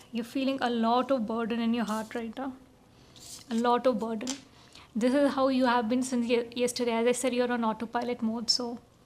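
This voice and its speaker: Her voice high-pitched and her intonation flat and monotone, a woman talks at a fairly quick pace. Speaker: tarot reader. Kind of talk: tarot reading.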